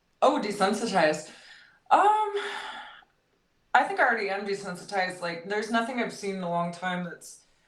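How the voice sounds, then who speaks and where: An American-accented woman speaks fairly quickly at a medium pitch with ordinary pitch variation. Her loudness swings a lot, she takes long, frequent pauses, and room echo is audible. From San Diego, California. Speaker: meme page creator. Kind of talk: casual interview. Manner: casual, filler-heavy.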